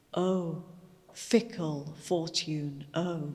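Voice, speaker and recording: A woman speaks with fairly even intonation. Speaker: poetry reciter. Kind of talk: poetry reading.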